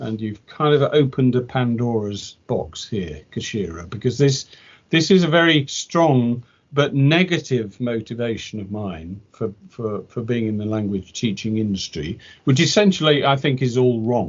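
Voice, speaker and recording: A man's medium-pitched voice with a British accent, lively intonation and a moderate pace. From Britain. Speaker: English language teacher. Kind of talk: interview conversation. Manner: halting, with repetitions.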